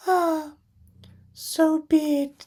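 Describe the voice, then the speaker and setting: A woman does a put-on character voice that is squeaky and extremely high-pitched, delivered in a flat monotone. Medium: read story. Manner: scornful, defiant.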